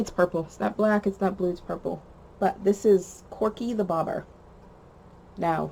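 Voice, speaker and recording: A woman with an American accent speaks at a moderate pace in a dark, mellow tone with vocal fry. Her intonation stays fairly even. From Boston, Massachusetts. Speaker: crochet video podcaster. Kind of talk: casual chat. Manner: hesitant, filler-heavy.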